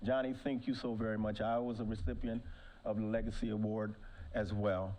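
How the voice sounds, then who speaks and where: A man with an American accent talks at a fairly quick pace and medium pitch. His tone is dark and mellow, and there is audible room echo. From Ohio. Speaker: former pro football player, award speaker. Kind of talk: award speech.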